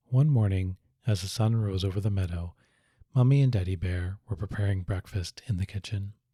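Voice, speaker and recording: A man speaks in a calm, gentle tone that is dark, mellow and somewhat breathy, with a fairly low pitch and ordinary pitch variation. The recording is very clean with a silent background and a dry, close sound with no echo. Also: moderate pace. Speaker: psychiatrist hosting a sleep story channel. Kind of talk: soothing sleep story narration. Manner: calm, gentle, relaxed.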